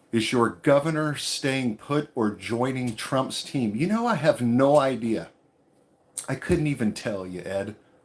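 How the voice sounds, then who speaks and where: Speaking at a fairly slow pace, a man with a medium pitch and a slight Texas accent uses lively intonation. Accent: Southern, slight Texas twang. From California, with years in Texas. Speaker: travel vlogger. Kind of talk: live stream Q&A. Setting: tiny house in the woods. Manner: casual, relaxed.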